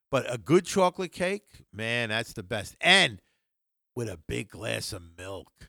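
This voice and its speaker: A man with a bright, sharp tone, vocal fry and medium pitch talks at a fairly slow pace with very wide pitch swings and big swings in loudness, in a dry, close sound with no echo on a very clean recording with a silent background. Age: 60s. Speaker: wrestling podcast co-host. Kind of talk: casual chat. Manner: slurring words.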